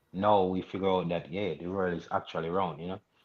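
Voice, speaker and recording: A man talks with a Jamaican accent at a fairly quick pace. His pitch is very deep and low. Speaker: reggae artist. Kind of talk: interview. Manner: halting, many fillers.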